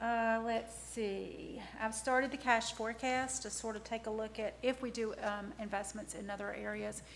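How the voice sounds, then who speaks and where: Over noticeable background noise and audible room echo, a woman speaks at a fairly high pitch in a monotone, flat intonation with hardly any pauses. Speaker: town finance director. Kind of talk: council meeting report. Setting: council meeting room. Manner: fast. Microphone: too far from microphone at first.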